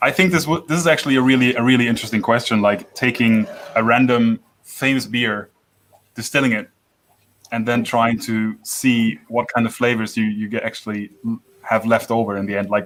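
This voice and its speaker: A man with a German accent, medium pitch, ordinary pitch variation and a fairly quick pace. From Franconia, Germany. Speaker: livestream host of a whisky channel. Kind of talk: casual chat. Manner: halting, many restarts and repeated words.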